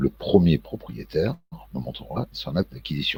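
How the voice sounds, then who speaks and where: A man speaks at a very deep, low pitch with vocal fry. The sound is dry and close, with no echo. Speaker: political commentary vlogger. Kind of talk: casual monologue vlog. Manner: slow; hesitant, many fillers and repetitions.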